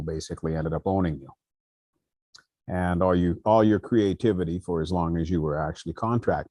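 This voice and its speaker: A very fast, dark and mellow voice with fairly even intonation, over a quiet background. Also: man. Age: 70s. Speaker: musician and vocalist. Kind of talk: panel discussion.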